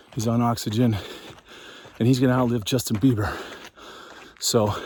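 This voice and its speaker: Flat, monotone intonation runs at a moderate pace over noticeable background noise. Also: man, medium pitch for a man. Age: 50s. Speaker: hiking vlogger. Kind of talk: casual vlog narration while hiking. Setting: outdoors on a mountain trail.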